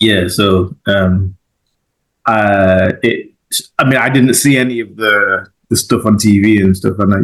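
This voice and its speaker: A man's fairly low voice in a Mancunian accent, with ordinary pitch variation. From Manchester, England (Moss Side, Hulme), arrived as child. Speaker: podcast host. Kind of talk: podcast interview.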